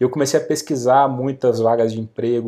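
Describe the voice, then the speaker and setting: Pitched in the medium range, a man's dark, mellow voice moves at a moderate pace with fairly even intonation. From interior of Rio de Janeiro state, Brazil. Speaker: real estate marketing expert and author. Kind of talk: podcast interview.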